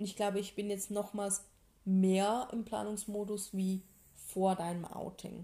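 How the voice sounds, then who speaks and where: A woman at a fairly slow pace, somewhat breathy, her tone dark and mellow and her pitch medium. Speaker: podcast co-host. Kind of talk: casual chat. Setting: home living room.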